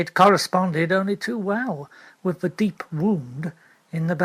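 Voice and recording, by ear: Someone reads aloud in a natural voice.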